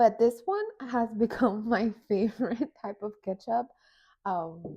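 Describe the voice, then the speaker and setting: Speaking at a very slow pace, a woman has a fairly high pitch, a dark, mellow tone, a somewhat breathy quality and ordinary pitch variation. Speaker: vlogger. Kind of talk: casual vlog narration. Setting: at home.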